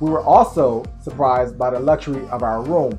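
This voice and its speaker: Faint music plays in the background as a man talks at a fairly quick pace with ordinary pitch variation. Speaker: travel vlogger. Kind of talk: travel vlog narration. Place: home room.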